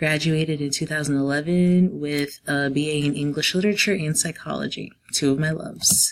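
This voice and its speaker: Speaking with an American accent, a woman uses a very deep, low pitch and fairly even intonation, with hardly any pauses. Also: fairly quick pace. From New Jersey / New York City area. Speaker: teacher. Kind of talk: class presentation. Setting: quiet room at home.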